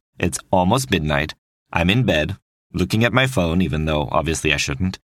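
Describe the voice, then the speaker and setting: The voice shows vocal fry and very wide pitch swings at a fairly quick pace, recorded very cleanly with a silent background and a dry, close sound with no echo. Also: man. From French-speaking Switzerland. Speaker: podcast host. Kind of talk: scripted narration.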